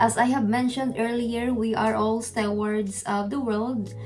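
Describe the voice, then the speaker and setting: Speaking in a Filipino accent, a woman with a fairly high pitch talks at a fairly slow pace in a monotone, flat delivery, with audible room echo and music playing in the background. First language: Filipino language. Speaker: YouTube channel host. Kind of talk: video outro address to viewers. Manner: formal.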